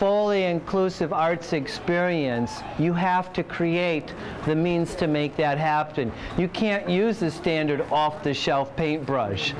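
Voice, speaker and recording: Over light background noise, a man talks at a very slow pace with ordinary pitch variation. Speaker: interviewee. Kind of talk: interview answer. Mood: enthusiastic, warm. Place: hall.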